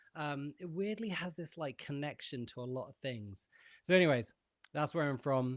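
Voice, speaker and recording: A man with a British accent speaks at a fairly high pitch and a moderate pace, with lively intonation and big swings in loudness. The sound is dry and close with no echo, in a very clean recording with a silent background. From England, Bedford. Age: 30s. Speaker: music producer and session guitarist. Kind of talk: podcast interview. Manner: hesitant, many fillers.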